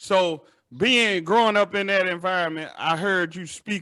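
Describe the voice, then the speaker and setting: This man has a high voice and a bright, sharp tone, speaking with a Southern US accent. He talks at a moderate pace on a very clean recording with a silent background. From Chattanooga, Tennessee. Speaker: podcast host. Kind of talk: interview.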